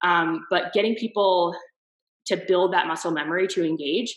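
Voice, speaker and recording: A woman with an American accent speaks in an ordinary speaking voice, her pitch varying in the usual way. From US East Coast. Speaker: marketer. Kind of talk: interview answer.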